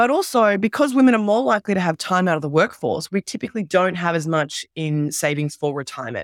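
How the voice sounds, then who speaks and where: Speaking very fast with hardly any pauses, a woman uses a medium pitch and very wide pitch swings. The recording is very clean, dry and close, with a silent background and no echo. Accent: Australian. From Australia. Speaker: entrepreneur and former journalist. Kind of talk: interview.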